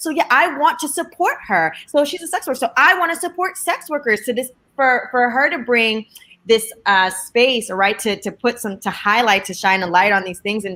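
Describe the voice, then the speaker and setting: Animated and bright, sharp in tone, at a moderate pace with very wide pitch swings. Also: woman. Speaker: sex worker and movement leader, parent. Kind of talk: panel discussion. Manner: loud, bold.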